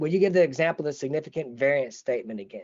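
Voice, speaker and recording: This man's fairly high-pitched voice carries lively intonation. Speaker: school psychology professor. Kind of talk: webinar lecture with Q&A. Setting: webinar broadcast from desk. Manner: halting, many fillers and repeats.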